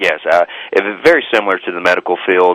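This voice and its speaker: A man with a Southern US accent in a dry, close sound with no echo. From US South. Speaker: author and former pastor, marriage counselor. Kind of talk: radio interview. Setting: talk radio show. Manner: halting, many repetitions.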